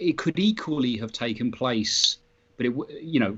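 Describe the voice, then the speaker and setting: At a moderate pace, a man talks in a British accent. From Britain. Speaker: comic book writer. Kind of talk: interview. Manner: halting, many fillers and restarts.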